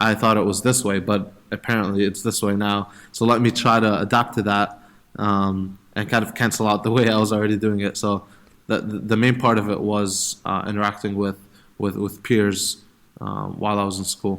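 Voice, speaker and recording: Speaking at a moderate pace, a man keeps a fairly low pitch with monotone, flat intonation. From Middle East (Egypt, Saudi Arabia, Jordan). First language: Arabic (Egyptian). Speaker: startup founder. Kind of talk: interview. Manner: hesitant, many fillers and repeats.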